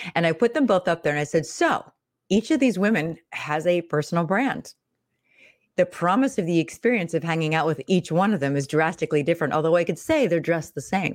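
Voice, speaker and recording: A woman with an American accent and a normal speaking voice, lively intonation, very even loudness, and a very clean recording with a silent background. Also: fairly low pitch for a woman, fairly quick pace. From Pittsburgh, Pennsylvania. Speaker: personal branding coach, former actress. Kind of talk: casual interview.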